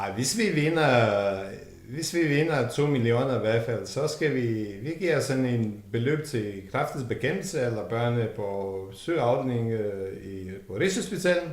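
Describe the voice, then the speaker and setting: Audible room echo and noticeable background noise surround the recording. A man speaks at a very slow pace with lively intonation. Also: medium pitch for a man. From Montenegro. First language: Serbo-Croatian (Montenegrin) (speaking Danish). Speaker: warehouse worker. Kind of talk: casual interview.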